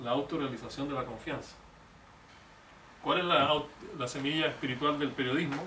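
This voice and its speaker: At a fairly quick pace, a man speaks in a fairly high pitch with fairly even intonation, leaving long, frequent pauses. Noticeable background noise and audible room echo fill the recording. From Chile. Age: 60s. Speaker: economist and presidential candidate. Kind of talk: public talk.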